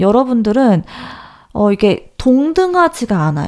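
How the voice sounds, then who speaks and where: Speaking at a moderate pace, a woman lets her pitch rise and fall across a very wide range. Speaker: tarot reader. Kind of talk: tarot reading talk to viewers. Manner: natural unaltered voice.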